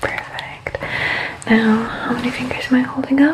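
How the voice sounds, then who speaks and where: Someone whispers while background noise remains noticeable. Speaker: ASMR creator doing a doctor roleplay. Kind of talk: ASMR medical roleplay, guided exam. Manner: soft-spoken, gentle, calming.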